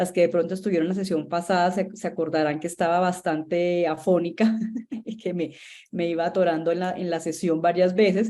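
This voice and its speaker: A woman's dark, mellow tone in a Colombian accent, fairly quick in pace, with monotone, flat intonation. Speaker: marketing agency founder, instructor. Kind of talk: online masterclass lecture. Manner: conversational, many fillers and repetitions.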